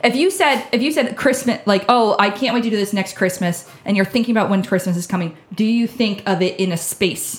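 Over noticeable background noise, a woman speaks at a fairly quick pace with hardly any pauses. Her pitch is medium, with ordinary variation. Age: 30s. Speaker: comedian and show producer. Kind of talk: casual chat.

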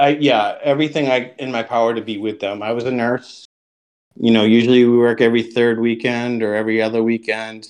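Speaking fairly quickly with an American accent, a man keeps his medium-pitched voice monotone and flat. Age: 50s. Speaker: off-road enthusiast. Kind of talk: casual chat.

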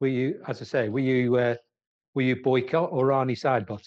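At a moderate pace, a man talks in a medium pitch with an unremarkable speaking voice. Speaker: sports business interviewer. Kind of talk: interview.

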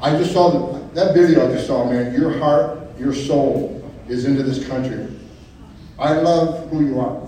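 Speaking at a fairly slow pace with ordinary pitch variation, the voice comes through over noticeable background noise. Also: man, fairly high pitch for a man. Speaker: organization CEO and speaker. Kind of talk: speech at event.

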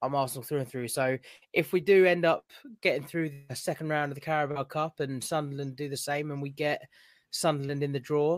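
The recording is very clean, with a silent background. A man with a southern English accent speaks at a moderate pace and a fairly high pitch. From southern England. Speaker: football fan. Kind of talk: casual chat.

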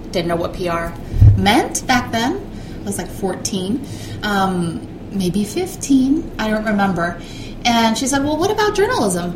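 A woman with an American accent talks at a fairly slow pace and a fairly high pitch, leaving long, frequent pauses. Noticeable background noise and audible room echo surround her voice. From Southern California, partly Mexico. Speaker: TV news reporter. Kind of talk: interview.

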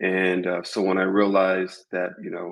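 The man's voice is fairly low in pitch. He keeps a moderate speed. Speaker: small business automation company founder. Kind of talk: interview. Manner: halting, repeats words.

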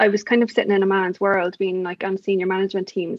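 In an Irish accent, a woman speaks at a medium pitch with monotone, flat intonation. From Ireland. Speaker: success coach for mothers. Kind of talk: interview.

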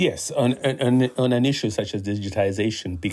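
This man's tone is dark and mellow. The pitch varies an ordinary amount. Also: very clean recording, silent background. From Uganda. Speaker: former journalist and communications executive. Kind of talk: interview.

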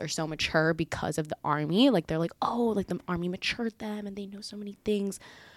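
A woman talks with an American accent and an unremarkable speaking voice at a fairly quick pace. The sound is dry and close with no echo, on a very clean recording with a silent background. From US, Miami area. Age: 20s. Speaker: English teaching fellow, podcast co-host. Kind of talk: casual chat.

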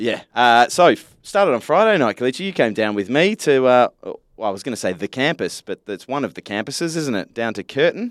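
A man with an Australian accent at medium pitch, fairly quick pace and hardly any pauses, with very wide pitch swings, in a very clean recording with a silent background and a dry, close sound with no echo. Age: 30s. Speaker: football podcast host. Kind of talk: casual chat. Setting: studio.

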